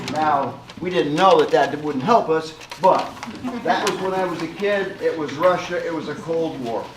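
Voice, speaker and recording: A man with a high-pitched voice speaks at a fairly slow pace and with fairly even intonation, with audible room echo and noticeable background noise. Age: 70s. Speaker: public commenter, veteran. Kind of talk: public comment at township meeting.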